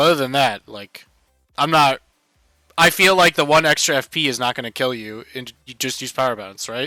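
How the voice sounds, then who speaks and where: A man at a medium pitch speaks at a moderate pace with ordinary pitch variation and big swings in loudness, recorded dry and close with no echo over background music. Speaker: gaming streamer. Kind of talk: casual chat. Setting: video call.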